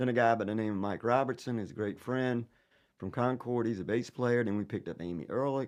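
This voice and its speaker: Ordinary pitch variation in a Southern accent at a fairly quick pace. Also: man, medium pitch for a man. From Virginia (Danville). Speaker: singer-songwriter. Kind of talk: casual chat.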